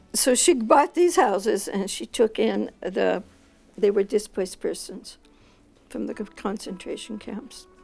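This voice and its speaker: An American-accented woman at a fairly slow pace, fairly high in pitch, with lively intonation, big swings in loudness and music in the background. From US West, Los Angeles (Boyle Heights). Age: 80s+. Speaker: retired educator. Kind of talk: personal interview testimony.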